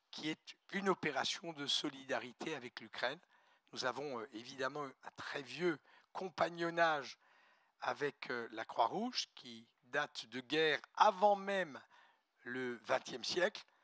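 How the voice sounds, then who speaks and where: A man talks very slowly at a fairly high pitch, bright and sharp in tone, with lively intonation and big swings in loudness. The sound is dry and close, with no echo. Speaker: postal company executive. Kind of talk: ceremonial speech. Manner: formal.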